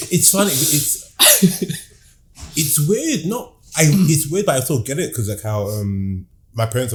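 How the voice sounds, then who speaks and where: With a London accent, a somewhat breathy man speaks at a moderate pace, his pitch swinging very widely and his speech broken by long, frequent pauses. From London, Hackney. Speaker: comedian and visual artist. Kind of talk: casual chat.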